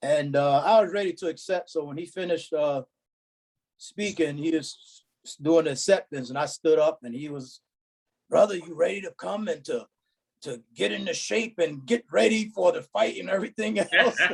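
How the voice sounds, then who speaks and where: At a moderate pace, a man with a high pitch speaks with lively intonation and big swings in loudness. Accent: New York. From Brooklyn, New York. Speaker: former member of a religious security group. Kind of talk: casual reminiscing among old friends.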